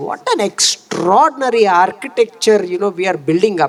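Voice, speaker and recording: A man with an Indian accent and very wide pitch swings, over noticeable background noise. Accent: Indian English (Telugu). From India, Telugu states. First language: Telugu. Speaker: education official, keynote speaker. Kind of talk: speech at awards event.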